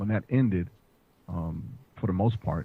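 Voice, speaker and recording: With an American accent, a man talks at a very fast pace in a very deep, low pitch, his voice resonant, somewhat breathy and dark and mellow in tone. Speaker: firearms instructor and podcaster. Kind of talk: interview podcast.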